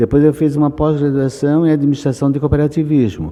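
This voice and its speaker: The speaker is a man. His tone is dark and mellow. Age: 70s. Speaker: writer and artist. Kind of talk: interview. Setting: book fair.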